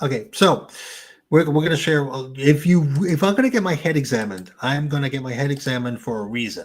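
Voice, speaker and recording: With a New Jersey accent, a man speaks very fast in a fairly high pitch with lively intonation. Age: 60s. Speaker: YouTuber. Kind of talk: casual chat.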